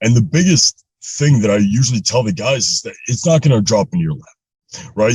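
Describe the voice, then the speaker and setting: A man talks at a fairly quick pace with a medium pitch, a somewhat breathy voice and lively intonation, in a dry, close sound with no echo. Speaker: motivational speaker and podcast host. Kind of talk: casual interview chat.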